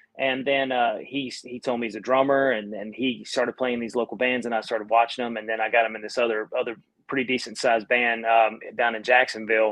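Speaking with an American accent, a man talks fairly quickly at a medium pitch in a flat monotone. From North Carolina, US South. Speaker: band singer and guitarist. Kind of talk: casual interview chat. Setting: online live stream.

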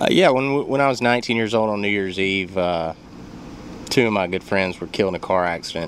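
A man's fairly low voice at a fairly quick pace, with ordinary pitch variation over noticeable background noise. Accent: Alabama. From Athens, Alabama. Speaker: home loan officer. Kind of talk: radio interview. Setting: radio studio.

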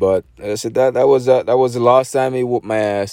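A man with a Jamaican accent speaks in a dark, mellow tone with fairly even intonation. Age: 40s. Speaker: podcaster telling personal stories. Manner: rambling, conversational with many fillers and self-corrections.

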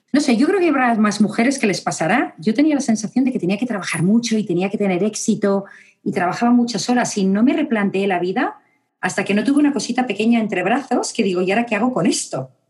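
Somewhat breathy and fairly high-pitched, a woman with a Spanish accent talks at a very fast pace with lively intonation. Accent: Spanish (Spain). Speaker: psychologist and university lecturer. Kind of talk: interview conversation.

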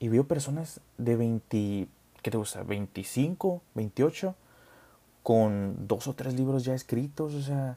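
In a Mexican accent, a man speaks with a medium pitch, a dark, mellow tone, a somewhat breathy quality and lively intonation. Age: 20s. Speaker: podcast host, nurse. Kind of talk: casual monologue.

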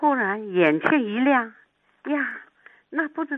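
At a fairly slow pace, a woman talks. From Shanghai. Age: 80s+. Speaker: retired Yue opera actress. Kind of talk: interview reminiscence. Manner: soft, gentle.

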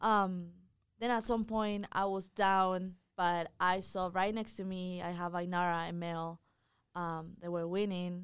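A woman speaks at a medium pitch in a flat, monotone delivery, recorded very cleanly against a silent background. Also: fairly slow pace. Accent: non-native. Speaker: college tennis player. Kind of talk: casual interview.

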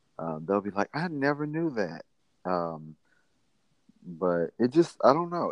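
A man with a Mississippi accent, at a moderate pace and with lively intonation. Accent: US Southern (Mississippi). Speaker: podcast guest, friend of host. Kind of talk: casual chat.

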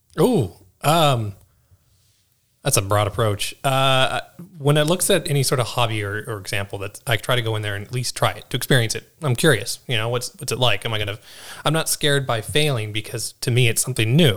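An unremarkable speaking voice, a man at medium pitch with ordinary pitch variation and a fairly quick pace. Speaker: new podcast co-host. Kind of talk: casual conversational podcast chat. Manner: relaxed, casual.

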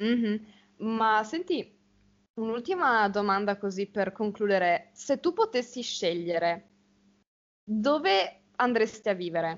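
Speaking very slowly with long, frequent pauses, a woman uses lively intonation at a fairly high pitch. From Italy, small village. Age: young. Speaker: university student. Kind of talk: casual conversation for Italian learners.

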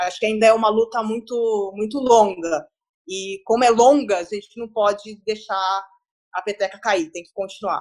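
A woman's fairly high voice with fairly even intonation at a moderate pace. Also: big swings in loudness. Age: 30s. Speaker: journalist. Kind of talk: podcast interview.

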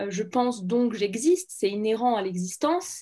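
Against a quiet background, a woman talks in a normal speaking voice at a fairly high pitch. Her intonation is lively and her pace moderate. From France, Saint-Étienne. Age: 20s. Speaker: medical student. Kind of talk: interview.

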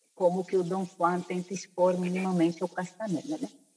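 A medium pitch marks this woman's voice. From Spain (born in Brazil). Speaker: anthropologist and spiritualist. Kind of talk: interview conversation.

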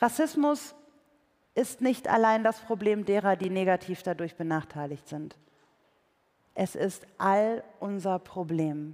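With a warm tone and medium pitch, a woman speaks with lively intonation. Her pace is very slow, broken by long, frequent pauses. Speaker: preacher and author. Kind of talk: sermon in church. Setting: church with live audience. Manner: conversational, warm, earnest; light humor, engaging.

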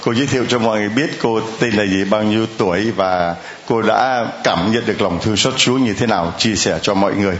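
Fairly low male voice at a moderate pace, with noticeable background noise. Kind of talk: sermon. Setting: church with large congregation. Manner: animated.

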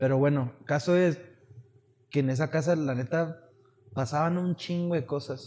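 The man's tone is dark and mellow, with fairly even intonation. He speaks at a fairly slow pace with long, frequent pauses. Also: fairly high pitch for a man. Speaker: podcast co-host. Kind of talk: casual chat.

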